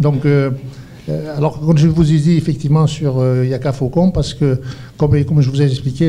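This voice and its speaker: Noticeable background noise sits behind a man who speaks at a fairly high pitch and a fairly quick pace. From Algeria. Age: 70s. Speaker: entrepreneur. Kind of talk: panel discussion. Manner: halting, many repetitions.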